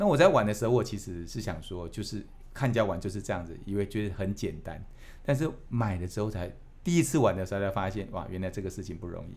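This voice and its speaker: Talking at a very fast pace in a Taiwanese accent, a man with a fairly low pitch uses ordinary pitch variation, and room echo is audible. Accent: Taiwanese Mandarin. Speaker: company executive. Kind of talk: interview. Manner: hesitant, many fillers.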